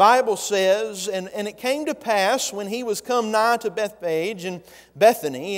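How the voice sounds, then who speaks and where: Big swings in loudness run through a man's high-pitched voice. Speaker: pastor. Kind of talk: sermon. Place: church. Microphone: lapel.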